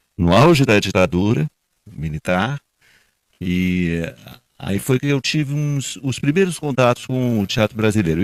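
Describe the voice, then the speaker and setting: A man with lively intonation, in a dry, close sound with no echo. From Brazil, partly raised in Colombia. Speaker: actor and theatre director. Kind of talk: panel discussion. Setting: live event with audience.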